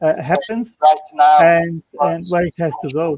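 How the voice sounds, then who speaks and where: Over a silent background in a very clean recording, a man with a non-native accent speaks fairly slowly, the sound dry and close with no echo. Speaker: creationist channel host. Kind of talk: casual chat. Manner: halting.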